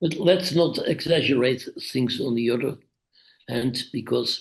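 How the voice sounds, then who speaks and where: In a Dutch accent, the speaker moves at a moderate pace with lively intonation and vocal fry. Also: man. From Netherlands. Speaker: author. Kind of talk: interview. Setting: video call.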